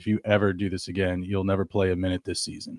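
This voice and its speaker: A man puts on a character voice, very deep and low, in a stern tone with monotone, flat intonation. He speaks at a very fast pace, and the sound is dry and close with no echo. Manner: stern, warning.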